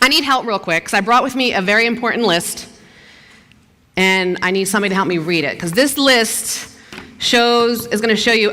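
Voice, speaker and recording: An energetic, animated woman with a Philadelphia accent, fairly high in pitch with ordinary pitch variation, at a fairly quick pace over noticeable background noise. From US Northeast, South Philadelphia. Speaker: TV news anchor. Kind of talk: motivational talk.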